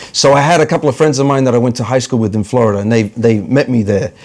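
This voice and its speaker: This is a man speaking. He has an American accent. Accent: New York accent with some Australian. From New York (Bronx), US. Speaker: comedian and actor. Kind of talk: casual interview chat.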